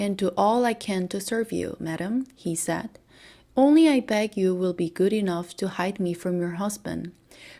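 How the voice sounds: Ordinary pitch variation marks this natural reading voice.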